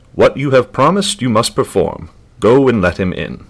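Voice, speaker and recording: A man's put-on character voice at medium pitch, with very wide pitch swings and a moderate pace. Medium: read story.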